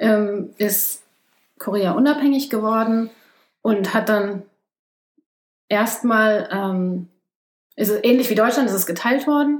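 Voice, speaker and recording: Speech comes very slowly with long, frequent pauses and ordinary pitch variation. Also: woman, fairly high pitch for a woman. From Germany. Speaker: ecologist. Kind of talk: casual interview.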